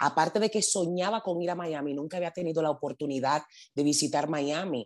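A woman's dark, mellow tone over a quiet background. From Dominican Republic, raised in the Bronx from age eight. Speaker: social media influencer. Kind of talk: interview.

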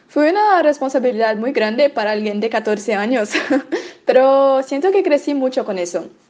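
A high-pitched woman's voice at a moderate pace, with lively intonation. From Brazil. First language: Portuguese (speaking Spanish). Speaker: medical student. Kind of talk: prepared testimony.

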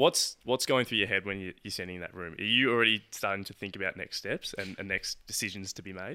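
A man with an Australian accent talks at a very fast pace with hardly any pauses, his fairly low pitch showing ordinary variation. His loudness swings widely, and the recording is very clean with a silent background. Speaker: podcast co-host. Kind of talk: casual chat.

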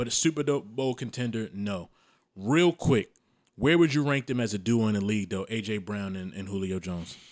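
Someone in a normal speaking voice talks with an American accent and lively intonation at a fairly quick pace. The recording is very clean, with a silent background. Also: man, fairly low pitch for a man. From Maryland, US. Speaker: podcast host. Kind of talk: casual chat.

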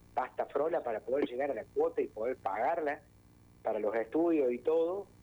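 Using a plain, everyday voice, a man speaks at a fairly high pitch with lively intonation. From Argentina, Córdoba province (Bell Ville). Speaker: folk singer. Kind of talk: interview.

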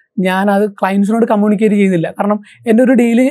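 With fairly even intonation, a man talks in a high voice. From Kerala, Alappuzha district (Cherthala). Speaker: business founder and CEO. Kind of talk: interview, personal life story.

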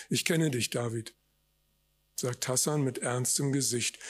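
A somewhat breathy man's voice with ordinary pitch variation, on a very clean recording with a silent background. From Germany, West Berlin. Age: 60s. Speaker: author. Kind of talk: reading aloud. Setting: stage with audience.

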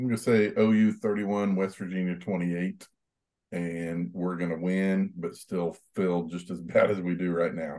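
A man speaks with a very deep, low pitch and a dark, mellow tone. His intonation stays monotone and flat. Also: moderate pace. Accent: American. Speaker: sports podcast panelist. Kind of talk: casual chat.

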